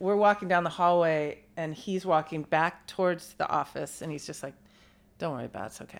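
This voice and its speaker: At a moderate pace, the speaker talks with an American accent and ordinary pitch variation on a very clean recording with a silent background. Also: woman. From US West Coast, San Francisco Bay Area. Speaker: friend of the host. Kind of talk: casual chat.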